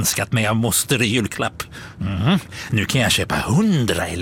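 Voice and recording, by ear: A passage is being read aloud. The delivery uses a natural voice.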